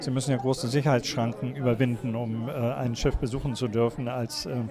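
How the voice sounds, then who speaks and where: A man's flat, monotone delivery at a fairly quick pace, with crowd noise in the background. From Kiel, northern Germany. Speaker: seamen's mission deacon. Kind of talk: interview.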